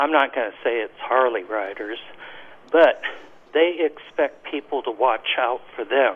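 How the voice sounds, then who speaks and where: A man with a normal speaking voice talks at a fairly slow pace, at a medium pitch with ordinary pitch variation. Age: 60s. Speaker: caller. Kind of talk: radio call-in. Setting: phone call.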